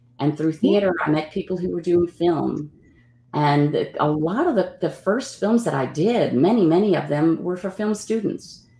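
A woman's fairly low, dark, mellow voice with ordinary pitch variation at a moderate pace, in audible room echo. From New Orleans, Louisiana. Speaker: actor; interview guest, actor. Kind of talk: interview. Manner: halting, with many fillers. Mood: warm, reflective. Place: home room. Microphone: video call.

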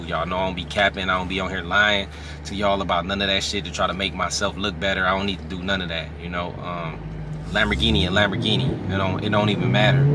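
A man rattles along very fast with ordinary pitch variation while noticeable background noise carries on. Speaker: car vlogger driving. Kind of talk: casual vlog chat. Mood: happy, excited. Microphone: phone near.

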